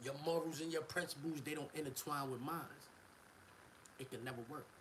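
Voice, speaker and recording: A man with a fairly high pitch talks at a fairly quick pace in an animated tone. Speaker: rapper and live streamer. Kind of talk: casual livestream rant. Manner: soft-spoken.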